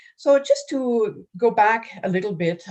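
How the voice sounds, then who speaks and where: In a French accent, a woman speaks with lively intonation. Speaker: nonprofit program manager. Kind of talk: conference presentation.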